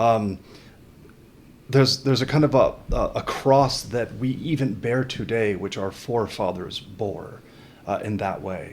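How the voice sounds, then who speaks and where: Pitched in the medium range, a man speaks with ordinary variation in pitch. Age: 40s. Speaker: podcast host. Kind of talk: podcast interview. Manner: halting, many repeated words.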